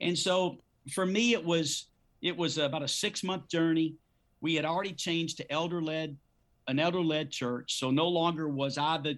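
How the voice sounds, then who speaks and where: In a very clean recording with a silent background, a man with an unremarkable speaking voice talks at a fairly high pitch and moderate pace, with fairly even intonation. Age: 50s. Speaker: pastor. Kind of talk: interview.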